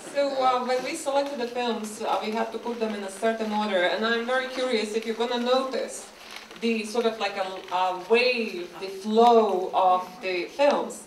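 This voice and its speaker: A woman speaks at a moderate pace in a fairly high voice with ordinary pitch variation. Noticeable background noise can be heard. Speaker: animator. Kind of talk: festival host introduction. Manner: hesitant, chatty.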